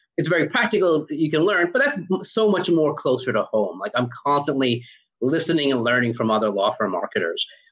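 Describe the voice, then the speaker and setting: Very fast pace, vocal fry, and very wide pitch swings. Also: man. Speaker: podcast host. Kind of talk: casual interview.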